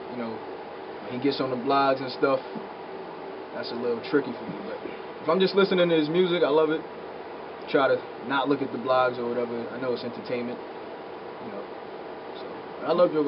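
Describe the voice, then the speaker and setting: A man with a fairly high pitch speaks at a fairly quick pace, with ordinary pitch variation and big swings in loudness. Long, frequent pauses break his speech over noticeable background noise. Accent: New York. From Brooklyn, New York (East Flatbush); New York. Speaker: rapper. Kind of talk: casual interview. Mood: relaxed, friendly. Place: studio.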